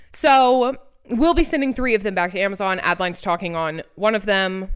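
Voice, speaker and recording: Here a woman talks at a medium pitch. Her tone is animated and her intonation lively. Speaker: podcast co-host. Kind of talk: casual chat.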